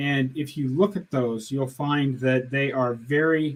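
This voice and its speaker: A man talks in a normal speaking voice at a medium pitch. His pace is fairly slow, with ordinary pitch variation. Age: 60s. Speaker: diet channel host. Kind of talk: live stream Q&A. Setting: live stream. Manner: casual, conversational.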